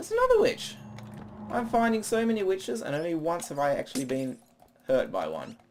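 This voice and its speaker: A man at a fairly quick pace with long, frequent pauses, over noticeable background noise. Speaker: gaming video creator. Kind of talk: let's play commentary. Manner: fast.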